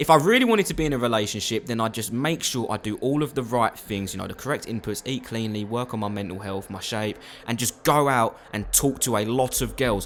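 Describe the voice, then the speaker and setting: A man with a British accent at a very fast pace, animated in tone with hardly any pauses, over noticeable background noise. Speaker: youtuber. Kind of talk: motivational monologue.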